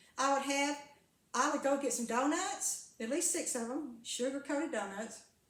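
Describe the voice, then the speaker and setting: Audible room echo surrounds a woman speaking at a high pitch. Her pace is moderate. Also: ordinary pitch variation. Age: 70s. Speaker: carnivore diet vlogger and former preacher. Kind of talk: casual monologue vlog. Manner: rambling with frequent hesitations and repeats.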